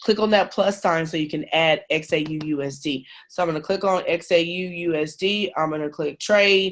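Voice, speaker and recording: In an ordinary speaking voice, a woman with a fairly low pitch talks at a moderate pace with fairly even intonation against a quiet background. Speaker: trading team leader. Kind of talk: tutorial.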